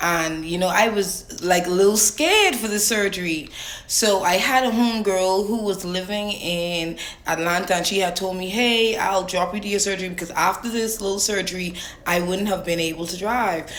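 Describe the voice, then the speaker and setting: With a strong Bahamian accent, a woman speaks at a moderate pace and medium pitch in an animated tone, over noticeable background noise and audible room echo. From Bahamas. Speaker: storyteller vlogger. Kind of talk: casual storytime.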